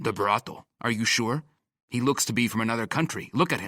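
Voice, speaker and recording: Doing a put-on character voice, a man growls at a medium pitch and a fairly quick pace with ordinary pitch variation, the sound dry and close with no echo in a very clean recording with a silent background. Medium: read story. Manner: probing, suspicious.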